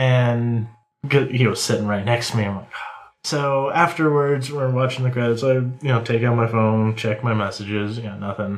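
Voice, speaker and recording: A man's ordinary speaking voice at medium pitch with fairly even intonation. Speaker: co-host. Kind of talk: casual chat.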